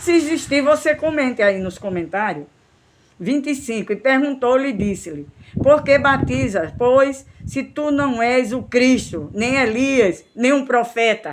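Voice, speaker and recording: A woman's high-pitched voice, with lively intonation at a fairly slow pace. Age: 60s. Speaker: missionary preacher. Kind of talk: sermon.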